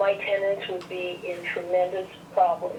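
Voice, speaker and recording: Noticeable background noise sits behind the recording. A woman speaks at a moderate pace. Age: 70s. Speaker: caller, small landlord. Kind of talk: public comment by phone.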